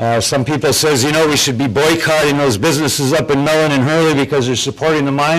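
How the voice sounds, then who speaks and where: Fairly even intonation marks this man's speech. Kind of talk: public testimony. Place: hall. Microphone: handheld.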